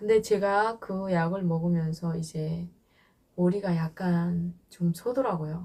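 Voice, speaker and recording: Very slow and somewhat breathy, a woman speaks at a fairly low pitch with a dark, mellow tone and fairly even intonation. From North Korea. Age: 20s. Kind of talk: interview answer.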